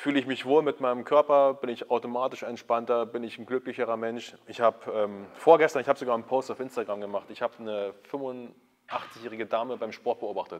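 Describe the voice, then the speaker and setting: A man with an ordinary speaking voice at a medium pitch, a fairly quick pace, fairly even intonation and big swings in loudness. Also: hardly any pauses. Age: 30s. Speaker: YouTube host, fitness content creator. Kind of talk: casual interview. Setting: backstage at a sports school.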